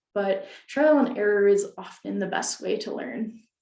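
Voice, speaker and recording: At a fairly slow pace, a woman of medium pitch speaks in an unremarkable speaking voice. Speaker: librarian presenter. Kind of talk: webinar presentation.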